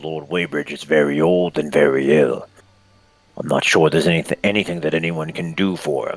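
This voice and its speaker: Using a put-on character voice, a man speaks gruffly at a moderate pace in a very deep, low pitch. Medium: actual play. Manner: gruff, insulting, brusque.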